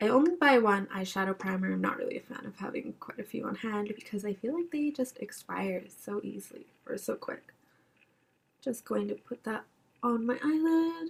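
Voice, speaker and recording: Lively intonation carries a plain, everyday voice at a moderate pace. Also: woman, fairly high pitch for a woman. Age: 20s. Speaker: beauty vlogger. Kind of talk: makeup tutorial. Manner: casual, conversational.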